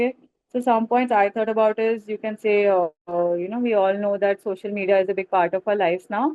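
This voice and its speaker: Her pace fairly quick, a woman speaks at medium pitch with fairly even intonation. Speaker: aviation interview trainer. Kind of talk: webinar feedback to students. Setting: video call webinar. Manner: fast.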